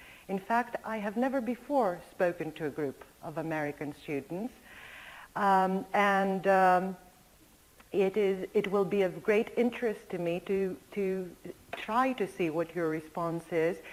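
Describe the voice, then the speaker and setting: With a Greek accent, a woman talks at a fairly slow pace and a medium pitch, using ordinary pitch variation. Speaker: linguistics professor. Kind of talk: lecture.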